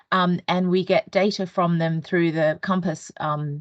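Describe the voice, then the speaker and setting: With an Australian accent, a woman speaks at medium pitch with fairly even intonation. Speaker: national careers organisation employer lead. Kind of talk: online training presentation. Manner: hesitant, many fillers.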